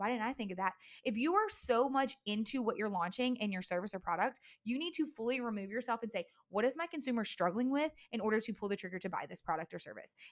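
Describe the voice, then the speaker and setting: A woman's fairly high-pitched, animated and energetic voice, lively in intonation, at a very fast pace. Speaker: marketing podcast host. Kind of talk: solo podcast monologue. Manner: fast when excited; animated, energetic.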